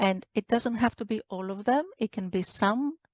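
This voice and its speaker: A woman's medium-pitched voice with a Greek accent, at a moderate pace, in a dry, close sound with no echo. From Greece. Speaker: doctor, menopause specialist. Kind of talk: interview. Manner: hesitant, many fillers.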